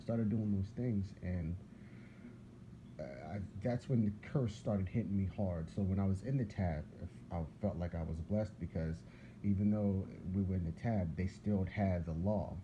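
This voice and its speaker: With an American accent, a man speaks at a moderate pace in a very deep, low pitch, his tone dark and mellow, somewhat breathy, with ordinary pitch variation. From US Northeast, Philadelphia. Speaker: religious video blogger. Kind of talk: casual religious monologue. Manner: rambling, repetitive.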